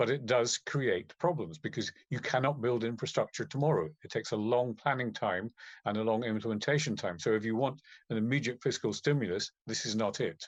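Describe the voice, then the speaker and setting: In a British accent, a man of medium pitch talks fairly quickly with ordinary pitch variation, in a dry, close sound with no echo against a quiet background. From UK. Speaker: economist. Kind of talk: conference talk. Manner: halting with repetitions.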